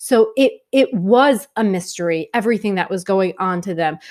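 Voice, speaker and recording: On a very clean recording with a silent background, a woman with a New York accent speaks at a moderate pace in an animated tone with lively intonation. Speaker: film reviewer. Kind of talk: video review monologue.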